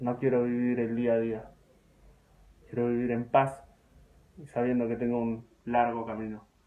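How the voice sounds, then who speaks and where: A medium-pitched male voice, monotone and flat, at a fairly slow pace with long, frequent pauses. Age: 20s. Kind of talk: personal appeal video to followers.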